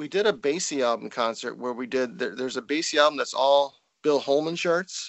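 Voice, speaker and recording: Using a normal speaking voice, a man talks with a fairly high pitch. His pace is fairly quick, and his pitch shows ordinary variation. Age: 50s. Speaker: trumpeter and music professor. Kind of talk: casual interview. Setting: Skype call.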